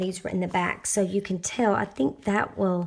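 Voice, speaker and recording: This speaker has a Southern US accent and keeps a moderate pace. The intonation stays fairly even. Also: woman. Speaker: planner and crafting YouTuber. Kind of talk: tutorial. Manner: casual with frequent filler words.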